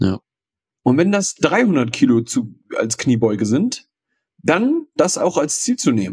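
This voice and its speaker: A man speaks very slowly with vocal fry, leaving long and frequent pauses while his pitch swings very widely, in a dry, close recording with no echo. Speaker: podcast co-host. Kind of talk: casual chat. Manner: halting, stammering.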